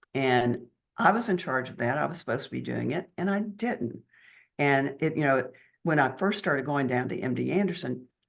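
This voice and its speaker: A woman talks at a moderate pace in a very deep, low pitch with lively intonation. Her voice carries vocal fry. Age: 70s. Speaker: cancer survivor. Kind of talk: interview.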